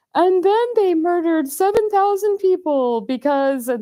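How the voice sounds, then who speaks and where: An extremely high-pitched, put-on character voice. It moves along at a moderate pace. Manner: solemn, reverent.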